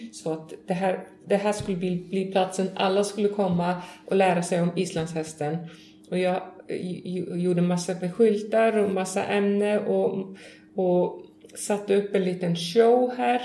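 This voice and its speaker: A woman's fairly even intonation comes through noticeable background noise and audible room echo. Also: medium pitch for a woman. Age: 40s. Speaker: horse farm and tourism business owner. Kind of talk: interview. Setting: on location at a farm.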